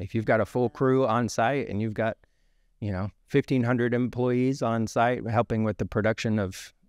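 A man talks at a moderate pace with fairly even intonation. The background is quiet, and the sound is dry with no echo. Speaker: guest. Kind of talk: interview answer. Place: studio. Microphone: studio mic.

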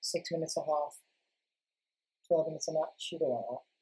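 Against a quiet background, a man speaks at a very fast pace. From British. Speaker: gaming youtuber. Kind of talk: casual gameplay commentary. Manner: hesitant, casual. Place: home room.

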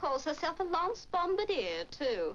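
A woman performs a put-on character voice at an extremely high pitch with a fairly bright tone. Her pitch swings widely and her pace is fairly slow.

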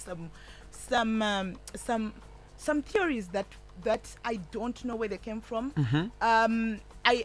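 Faint music plays in the background as a woman talks at a fairly slow pace. Her pitch varies in an ordinary way, and the sound is dry with no echo. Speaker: radio guest. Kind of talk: interview answer. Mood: animated, laughing at times. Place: studio. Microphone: studio mic.

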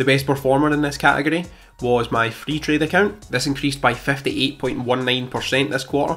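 Fairly even intonation from a male speaker. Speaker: finance youtuber. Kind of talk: portfolio update vlog. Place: home room. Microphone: studio mic.

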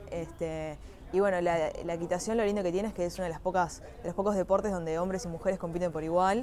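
Light background noise sits behind a woman speaking at a very fast pace, with a fairly low pitch and fairly even intonation. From Uruguay, Montevideo area; Uruguay. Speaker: equestrian athlete (dressage). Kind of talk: personal testimony.

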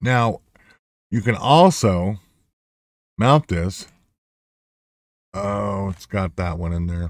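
A man with a very deep, low pitch is heard in a dry sound with no echo against a quiet background. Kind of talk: tutorial.

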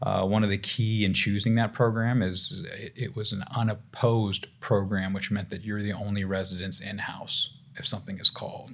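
A man's fairly low voice at a moderate pace, with fairly even intonation and hardly any pauses. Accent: American. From US South. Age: 30s. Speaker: family physician; guest. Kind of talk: casual chat. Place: studio. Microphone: studio mic.

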